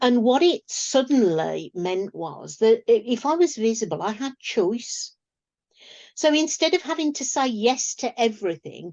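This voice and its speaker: A woman with a British accent speaks at a high pitch. Her delivery shows very wide pitch swings at a moderate pace. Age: 60s. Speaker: business coach and speaker. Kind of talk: podcast interview.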